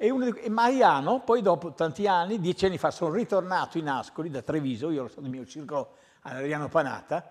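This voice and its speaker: Against a quiet background, a man talks at a very fast pace in a high pitch with very wide pitch swings. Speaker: tennis coach. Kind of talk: TV studio interview. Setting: TV studio. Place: studio.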